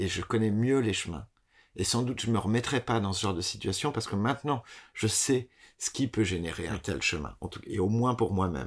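A man speaks at a fairly low pitch with vocal fry. The recording is very clean, with a silent background. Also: ordinary pitch variation, fairly quick pace. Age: 30s. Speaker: theatre director. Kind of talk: interview. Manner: halting.

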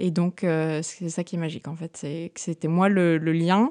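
A woman's dark, mellow voice comes at a fairly slow pace, with a dry, close sound and no echo. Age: 30s. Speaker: entrepreneur. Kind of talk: interview.

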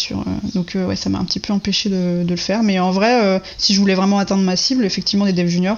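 A woman's voice at medium pitch. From Brittany, France. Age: 30s. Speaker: web developer. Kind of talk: interview.

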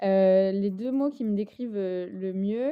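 Her intonation is lively. A woman talks at a medium pitch. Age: 30s. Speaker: app founder. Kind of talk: interview.

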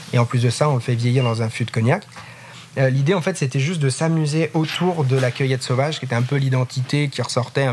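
A man's medium-pitched voice at a very fast pace, fairly even in intonation, with noticeable background noise. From France, Loire. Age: 30s. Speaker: craft liqueur maker and business founder. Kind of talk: interview. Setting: in his warehouse.

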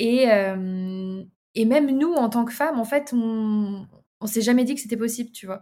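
Delivered in an unremarkable speaking voice at a moderate pace with ordinary pitch variation, the speech sits on a very clean recording with a silent background. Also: woman. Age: 20s. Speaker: entrepreneur. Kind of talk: casual interview.

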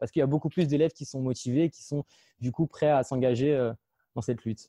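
Dry, close sound with no echo, a dark and mellow tone, and ordinary pitch variation. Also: man. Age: 20s. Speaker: association founder, video maker. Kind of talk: interview.

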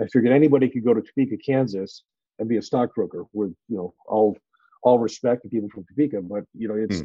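A man's medium pitch with fairly even intonation. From northern New England, US. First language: French. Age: 50s. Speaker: finance partner and investor. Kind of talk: casual interview.

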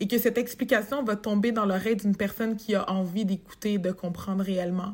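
A woman speaks at a fairly high pitch in a somewhat breathy voice. Her intonation is fairly even. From Quebec, Montreal. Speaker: human resources professional. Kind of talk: interview conversation.

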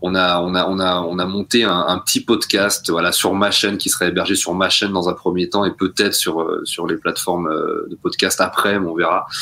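A man talks with hardly any pauses. Noticeable background noise runs beneath him. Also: moderate pace. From rural France. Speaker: podcast co-host. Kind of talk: casual chat.

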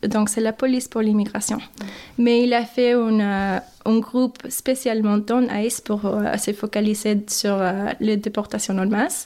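A fairly slow, monotone delivery with flat intonation and very even loudness, on a very clean recording with a silent background. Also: woman, fairly high pitch for a woman. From Mexico, later US Midwest (Michigan, Chicago). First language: English and Spanish (speaking French). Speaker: migrant woman interviewee. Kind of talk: interview. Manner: halting, with repetitions and hesitations.

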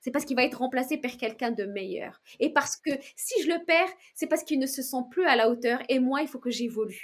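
Here a woman speaks with a high pitch at a fairly quick pace, using ordinary pitch variation. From outside France. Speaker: entrepreneur, founder of a luxury shoe brand. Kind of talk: interview. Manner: halting, many repetitions and fillers; energetic, upbeat.

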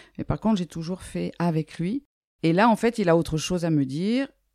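Her fairly low pitch, dark, mellow tone and ordinary pitch variation come through as a woman speaks with a dry, close sound and no echo. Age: 60s. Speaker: dance teacher and sophrologist. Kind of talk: casual interview.

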